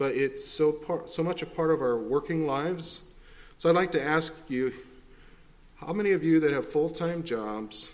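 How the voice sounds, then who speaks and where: A man speaks at a moderate pace with a fairly high pitch and ordinary pitch variation. Audible echo from the room surrounds his voice. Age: 40s. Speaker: preacher. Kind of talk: sermon.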